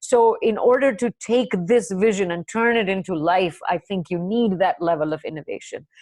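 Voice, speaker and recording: With a normal speaking voice, a woman talks at a moderate pace and medium pitch, using lively intonation over a quiet background. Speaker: corporate scientist. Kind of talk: webinar talk.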